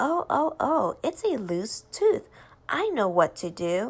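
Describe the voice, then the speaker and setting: A put-on character voice moves at a fairly slow pace with very wide pitch swings. The recording is very clean, with a silent background. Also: woman, high pitch for a woman. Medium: read story. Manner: self-assured.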